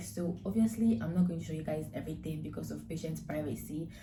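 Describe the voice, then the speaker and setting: The speaker has a Nigerian accent and a fairly quick pace with ordinary pitch variation. Audible room echo is present. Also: woman. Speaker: nursing student vlogger. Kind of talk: vlog intro to camera.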